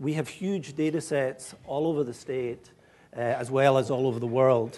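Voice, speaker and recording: At a moderate pace, the speech has fairly even intonation and a dark, mellow tone. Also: man. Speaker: professor of climatology. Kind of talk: public lecture. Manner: hesitant, many fillers.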